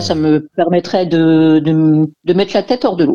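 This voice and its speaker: Recorded with a dry, close sound and no echo, a woman's voice has a dark, mellow tone, a fairly low pitch and ordinary pitch variation. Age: 50s. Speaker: job-seeking radio caller. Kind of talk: call-in consultation.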